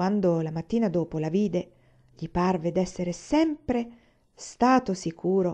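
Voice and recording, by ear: The passage is read aloud in a natural voice.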